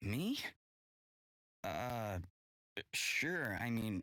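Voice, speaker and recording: A man puts on a raspy character voice at medium pitch, swinging very widely up and down. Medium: video game. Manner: casual, stammering.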